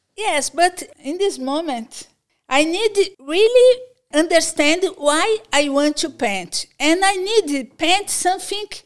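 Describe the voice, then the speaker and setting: A woman speaking at a very slow pace in a Portuguese accent. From Brazil, São Paulo. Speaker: visual artist and teacher. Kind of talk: interview. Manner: halting.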